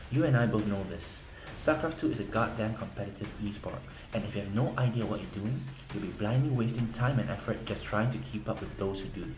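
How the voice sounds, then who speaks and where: A fairly low-pitched man at a fairly quick pace with lively intonation, plus audible room echo and noticeable background noise. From South Korea. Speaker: game strategy guide seller. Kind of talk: sales pitch.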